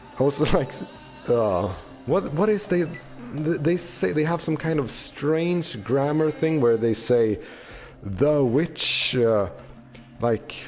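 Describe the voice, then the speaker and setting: A man speaks at a very slow pace with long, frequent pauses and fairly high pitch for a man. His intonation is lively, his loudness very even, and music plays in the background. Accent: non-native. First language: not English. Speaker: gaming streamer. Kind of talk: casual gameplay commentary. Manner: halting, many fillers.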